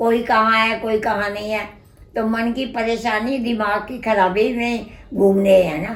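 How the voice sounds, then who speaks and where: The speech is monotone and flat, with audible echo from the room. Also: woman, fairly high pitch for a woman. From Punjab, Lahore (Pakistan). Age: 80s+. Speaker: partition survivor. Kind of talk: oral history interview. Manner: halting.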